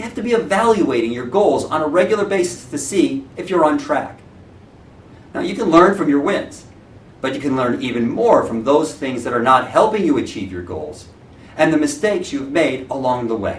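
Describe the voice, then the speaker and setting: A loud man speaks at a moderate pace and fairly high pitch, with very wide pitch swings and audible room echo. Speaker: real estate branch manager. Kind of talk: motivational talk.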